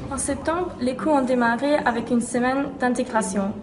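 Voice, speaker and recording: A high-pitched woman's voice at a moderate pace, with audible room echo and noticeable background noise. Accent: German. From Austria, Vienna. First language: German (speaking French). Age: 20s. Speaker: university student. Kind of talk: promotional testimonial. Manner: enthusiastic.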